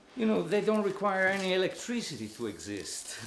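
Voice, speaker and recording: Over noticeable background noise, a man's pitch swings very widely. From Italy. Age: old. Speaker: photographer. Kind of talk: documentary interview answer. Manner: candid, conversational.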